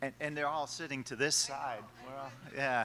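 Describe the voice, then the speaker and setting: A man with a fairly high pitch speaks in a bright, sharp tone. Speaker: college professor, panel moderator. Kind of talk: panel moderation at workshop. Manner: loud.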